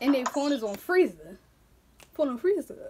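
A woman speaks in a high voice with very wide pitch swings. There is noticeable noise in the background. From Philadelphia, US. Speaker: YouTuber. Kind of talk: casual vlog chat. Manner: animated. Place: home room. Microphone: phone near.

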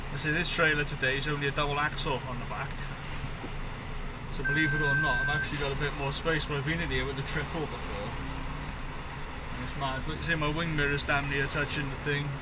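Someone talks at a very fast pace amid loud background noise. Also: man. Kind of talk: casual vlog commentary. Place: car. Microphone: phone near.

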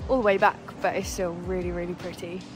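Clear music sounds behind the voice. The speaker is a woman. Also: dry sound with no echo. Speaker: outdoor vlogger. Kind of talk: casual vlog chat. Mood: delighted, relaxed. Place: waterside. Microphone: phone near.

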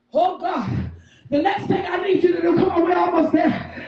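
A woman talks at a moderate pace in an extremely high pitch with ordinary pitch variation, and there is noticeable background noise and audible room echo. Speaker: preacher. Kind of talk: sermon. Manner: animated. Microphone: sounds muffled.

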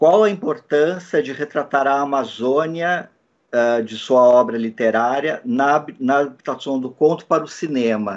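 Against a quiet background, a man with a fairly high pitch speaks at a fairly slow pace with ordinary pitch variation. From Brazil, São Paulo (Southeast). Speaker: press conference moderator. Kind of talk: press conference question. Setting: online press conference. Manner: halting, many fillers. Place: home room. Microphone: video call.

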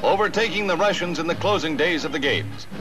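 Over noticeable background noise, a man talks at a fairly quick pace in a high voice. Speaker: newsreel narrator. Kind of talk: newsreel narration. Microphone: old recording.

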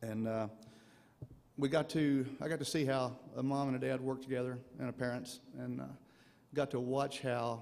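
A man's medium-pitched voice at a moderate pace, flat and monotone, with long, frequent pauses. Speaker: son of inductee giving acceptance speech. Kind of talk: acceptance speech. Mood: reflective, proud. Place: hall. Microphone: podium.

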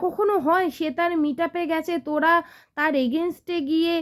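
In a very clean recording with a silent background, a woman speaks at an extremely high pitch. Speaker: YouTube vlogger. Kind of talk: casual commentary vlog. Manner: animated.

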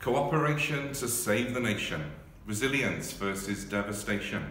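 Over light background noise and audible room echo, a man talks at a fairly slow pace with a fairly low pitch and ordinary pitch variation. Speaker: marketing and communications staff member. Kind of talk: spoken word poetry reading. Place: office. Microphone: phone near.

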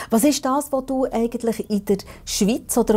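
The voice moves at a fairly slow pace with a dark, mellow tone and ordinary pitch variation. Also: woman. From Switzerland. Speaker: TV talk show host. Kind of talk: interview. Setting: studio. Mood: warm, conversational. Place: studio. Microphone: lapel.

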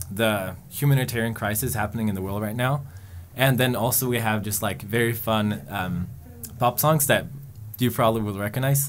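Light background noise sits under this recording. A man speaks at a fairly low pitch with ordinary pitch variation. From Sweden. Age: 20s. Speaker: organization staff member; guest. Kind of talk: interview answers. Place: studio. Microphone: studio mic.

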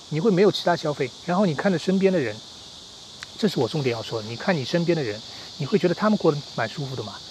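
A man talks at a very fast pace. The sound is dry with no echo, and background noise is noticeable. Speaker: lifestyle vlogger. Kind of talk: casual monologue to camera. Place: garden. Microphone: earbuds.

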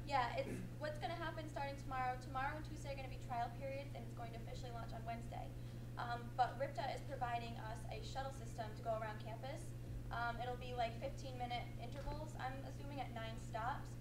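Over noticeable background noise, a woman rattles along at a very fast pace. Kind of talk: meeting answer. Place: hall. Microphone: camera far.

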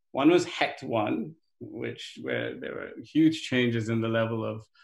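There is vocal fry in this man's medium-pitched voice. The room echo is audible.

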